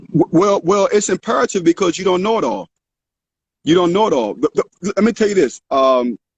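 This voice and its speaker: High-pitched and lively in intonation, a man talks fairly quickly. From Washington DC, southeast. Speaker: pastor. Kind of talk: interview on a livestream. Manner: fast; animated.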